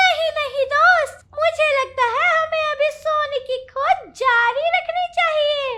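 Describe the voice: This is a cartoonish character voice, squeaky and extremely high in pitch. It moves at a very slow pace with hardly any pauses.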